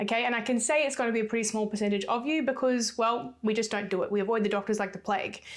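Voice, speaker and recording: A woman talks at a very fast pace with hardly any pauses. Her voice is fairly high-pitched, with fairly even intonation. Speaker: sports nutritionist and fitness coach. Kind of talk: solo podcast talk.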